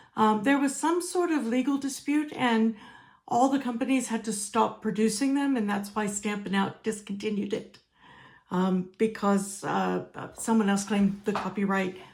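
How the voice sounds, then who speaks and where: In an American accent, a woman talks at a moderate pace with a medium pitch, ordinary pitch variation and a somewhat breathy quality. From United States. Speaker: crafting demonstrator. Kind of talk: tutorial. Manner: casual, with fillers.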